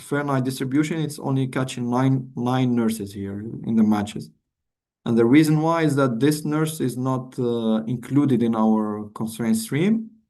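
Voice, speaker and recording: Speaking at a moderate pace, a man uses a medium pitch with ordinary pitch variation and a dark, mellow tone. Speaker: workshop presenter. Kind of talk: tutorial. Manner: halting, many fillers.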